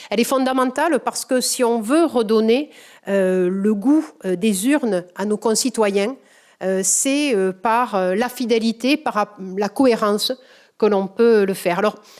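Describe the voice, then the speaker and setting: A woman speaks in a strong southwestern French accent. Her voice is fairly high, with ordinary pitch variation. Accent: thick southwestern French. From southwest France, Comminges in the Pyrenees. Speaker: politician, award recipient. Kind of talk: acceptance speech. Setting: award ceremony with audience. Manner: halting, many filler hesitations.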